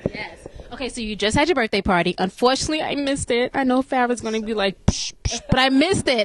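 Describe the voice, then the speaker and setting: With a New York accent, a woman speaks at a very fast pace in a high voice with lively intonation, the sound dry and close with no echo, over noticeable background noise. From New York, US. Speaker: online interview host. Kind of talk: interview. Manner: animated.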